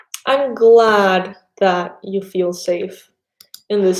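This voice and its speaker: The speaker has a Spanish accent. The intonation is monotone and flat. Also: woman. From Panama. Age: 30s. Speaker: tarot reader. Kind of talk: casual chat. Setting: live stream.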